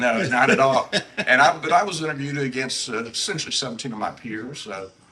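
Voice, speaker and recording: With a Southern US accent, a man at medium pitch talks at a very fast pace with lively intonation and big swings in loudness. Noticeable background noise runs underneath. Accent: Southern US (Georgia). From US South, Savannah, Georgia. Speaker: retired naval officer. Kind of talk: interview.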